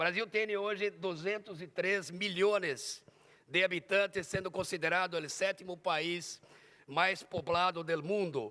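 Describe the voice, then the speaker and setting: This man's high-pitched voice has a bright, sharp tone, very even loudness and fairly even intonation, recorded very cleanly against a silent background. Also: fairly slow pace. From Brazil. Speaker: conference speaker on organized crime. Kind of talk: conference presentation. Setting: conference hall with audience. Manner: halting, with repetitions and fillers.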